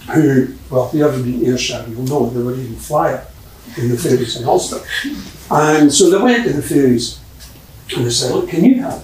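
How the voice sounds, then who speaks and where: Speaking at a fairly quick pace with a Scottish accent, a man takes long, frequent pauses over noticeable background noise. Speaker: storyteller, folklorist. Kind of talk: live folk tale storytelling to an audience. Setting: live theatre performance. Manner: lively, conversational.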